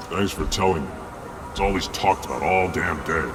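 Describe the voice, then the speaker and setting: Over loud background noise, a man puts on a character voice with a very deep, low pitch and moves at a fairly quick pace. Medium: machinima. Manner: blunt, sardonic.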